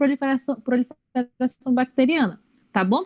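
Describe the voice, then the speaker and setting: Dry and close with no echo, a woman's high-pitched voice moves at a fairly quick pace. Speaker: medical student tutor. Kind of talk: lecture.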